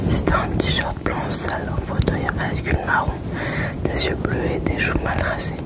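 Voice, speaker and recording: Noticeable background noise runs beneath a whispered voice. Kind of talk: ASMR whispered book reading.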